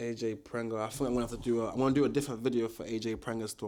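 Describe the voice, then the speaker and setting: Speaking in a London accent, a man uses a medium pitch and a dark, mellow tone. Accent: London multicultural English. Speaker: boxing commentator YouTuber. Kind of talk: casual vlog commentary. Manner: casual, filler-heavy.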